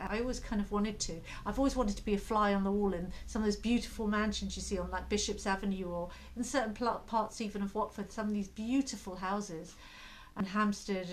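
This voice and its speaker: A woman in a British accent, medium pitch, very fast pace and fairly even intonation. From UK. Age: 50s. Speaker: lifestyle vlogger. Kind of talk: casual talk to camera.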